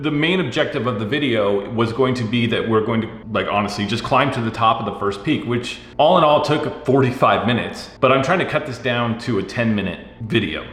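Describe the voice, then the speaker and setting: A medium-pitched man's voice with ordinary pitch variation, audible room echo and noticeable background noise. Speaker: gaming content creator. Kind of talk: tutorial. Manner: fast.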